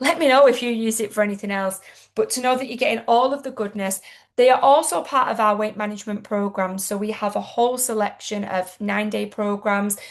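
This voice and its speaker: A woman talks at a fairly quick pace in a British accent. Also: fairly high pitch for a woman, ordinary pitch variation. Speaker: product seller. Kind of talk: sales pitch.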